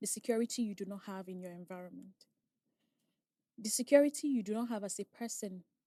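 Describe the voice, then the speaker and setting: A woman in a Nigerian accent speaks at a moderate pace and medium pitch, with ordinary pitch variation and a dark, mellow tone. Her voice is somewhat breathy, and the sound is dry and close with no echo. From Nigeria, raised in Asaba. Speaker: oil and gas safety inspector. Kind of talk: casual chat.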